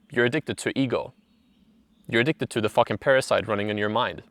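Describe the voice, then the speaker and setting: In a non-native accent, a man speaks fairly quickly at a medium pitch with ordinary pitch variation, recorded very clean and dry and close with no echo against a silent background. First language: not English. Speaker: self-help video creator. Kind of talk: casual monologue. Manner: animated.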